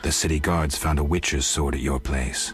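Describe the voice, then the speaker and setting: A man performs a put-on character voice, growling with a deadpan tone at a moderate pace. His loudness stays very even while music plays in the background. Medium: video game. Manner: terse, dry, deadpan.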